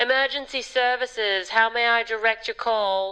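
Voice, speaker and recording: A woman does a put-on character voice at a fairly high pitch. Her intonation stays fairly even against a quiet background. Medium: video game. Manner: brisk, helpful.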